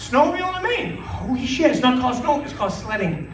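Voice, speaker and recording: Extremely high-pitched male voice with very wide pitch swings, audible room echo and noticeable background noise. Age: 40s. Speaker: stand-up comedian. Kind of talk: stand-up. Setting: stage with audience. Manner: animated.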